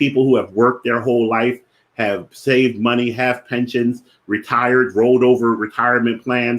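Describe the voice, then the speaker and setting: A man talks in a strong Philadelphia accent at a fairly quick pace. His pitch sits in the medium range. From Philadelphia, US. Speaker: finance educator, platform founder. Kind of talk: live-streamed educational talk. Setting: Facebook live stream.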